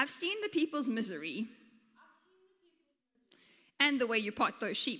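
In a put-on character voice, the speaker uses big pitch swings and a bright, sharp tone at a fairly slow pace. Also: woman, fairly high pitch for a woman.

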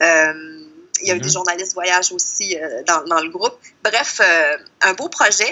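A woman with a Quebec accent speaks at a fairly slow pace and medium pitch, with ordinary pitch variation, big swings in loudness and long, frequent pauses. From Quebec, Lac-Saint-Jean (Saint-Félicien). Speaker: travel columnist and blogger. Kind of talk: casual interview.

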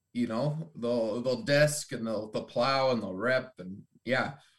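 A man with a Canadian accent speaks in an ordinary speaking voice, medium in pitch with ordinary pitch variation. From Ontario, Canada. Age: 20s. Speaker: agriculture student and farmer. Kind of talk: casual interview chat.

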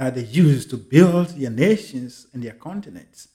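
At a moderate pace, a man with a fairly high pitch speaks in a dark, mellow tone that is somewhat breathy. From Ghana. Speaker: motivational speaker. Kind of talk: motivational monologue. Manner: emphatic.

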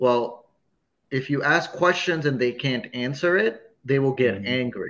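Using a plain, everyday voice, a man speaks at medium pitch. He goes at a fairly slow pace with ordinary pitch variation. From a hot country abroad, moved to Chicago as a child. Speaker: comedian. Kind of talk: casual chat.

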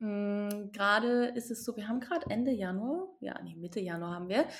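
A woman with medium pitch, ordinary pitch variation and an unremarkable speaking voice. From eastern Saxony, Germany. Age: 20s. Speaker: sexological bodyworker and yoga teacher. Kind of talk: casual interview. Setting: remote call from home.

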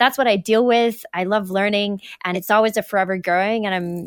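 A woman with a Canadian accent and an ordinary speaking voice, medium pitch, fairly even intonation and a fairly quick pace, in a very clean recording with a silent background. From Western Canada. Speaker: gym owner and fitness coach. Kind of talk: interview.

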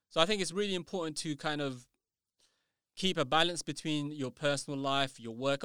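At a very fast pace, a man with a London accent speaks at a fairly high pitch in a bright, sharp tone with ordinary pitch variation, the sound dry and close with no echo on a very clean recording with a silent background. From London, England. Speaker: writer and educator. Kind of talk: casual interview. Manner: halting, repeats words.

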